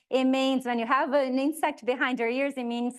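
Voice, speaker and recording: Against a quiet background, a woman with a Portuguese accent speaks at a high pitch. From Brazil, Southeast. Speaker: realtor. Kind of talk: presentation.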